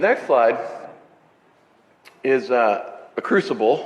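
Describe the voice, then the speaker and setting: A man's voice amid noticeable background noise. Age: 60s. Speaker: pastor. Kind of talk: sermon. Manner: casual, halting with repetitions.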